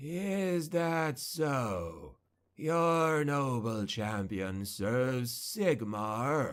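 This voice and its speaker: In a put-on character voice, a man with a medium pitch hisses his words at a very slow pace. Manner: hissing, bitterly laughing.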